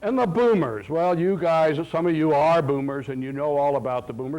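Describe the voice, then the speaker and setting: A man with an American accent talks at a moderate pace. His pitch is fairly high, and the room echo is audible. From US South, Florida. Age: 60s. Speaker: professor. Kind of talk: lecture. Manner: animated.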